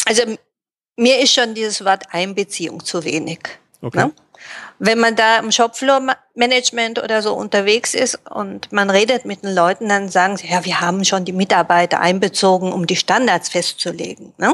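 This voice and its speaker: Using an ordinary speaking voice, a woman speaks at a medium pitch and moderate pace with ordinary pitch variation. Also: dry, close sound with no echo. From Japan and Germany, raised bilingual. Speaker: Japanese-German interpreter and translator. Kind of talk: interview.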